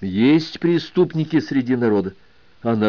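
This is an unforced reading voice with lively intonation.

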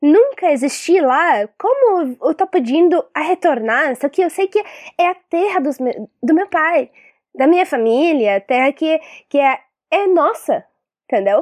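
Fairly slow speech with an Arabic accent and very wide pitch swings, dry and close with no echo. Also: woman, extremely high pitch for a woman. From Syria, Palestinian refugee family. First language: Arabic (speaking Portuguese). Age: 20s. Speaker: filmmaker, activist and teacher. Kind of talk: interview. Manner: halting.

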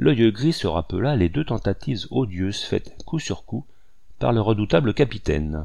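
Someone reads aloud, sounding natural.

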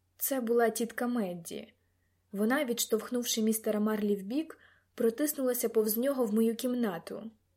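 The text is read aloud in a natural voice, with intonation that stays fairly even.

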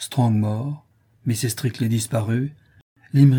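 Against a quiet background, the speaker reads in an unforced reading voice.

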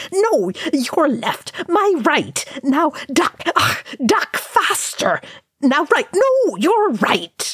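This put-on character voice sits high in pitch, moves very slowly with long, frequent pauses, and swings very widely in pitch. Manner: shouted.

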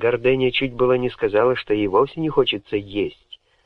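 Someone does plain reading aloud.

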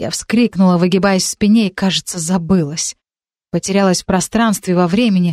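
The text is read aloud plainly. Behind it, the background stays quiet.

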